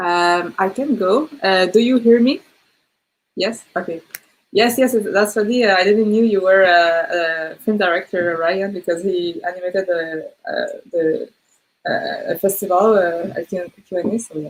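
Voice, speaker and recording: In a French accent, a woman talks at a fairly slow pace and medium pitch with ordinary pitch variation. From Canada. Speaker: filmmaker. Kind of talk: panel discussion. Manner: halting.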